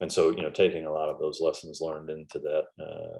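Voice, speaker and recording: His accent is American. The man talks at a fairly quick pace. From US Midwest (northern Iowa). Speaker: former navy seal, dog trainer, business owner. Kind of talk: podcast interview. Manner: halting, many fillers and repeats.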